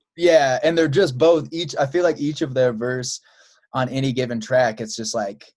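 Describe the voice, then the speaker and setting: A normal speaking voice with an American accent, moderate pace and ordinary pitch variation. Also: man, medium pitch for a man. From Chicago. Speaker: podcast host and musician. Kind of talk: casual interview chat.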